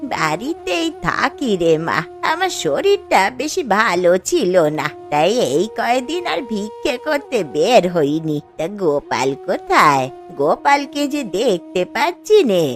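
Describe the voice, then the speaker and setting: A woman does a cartoonish character voice at a fairly high pitch with very wide pitch swings. She speaks at a fairly slow pace as clear music plays in the background. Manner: gentle, motherly.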